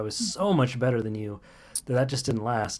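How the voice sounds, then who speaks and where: An unremarkable speaking voice comes with an American accent. The pace is moderate. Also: man. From US South, Kentucky. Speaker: live stream co-host. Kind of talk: casual chat.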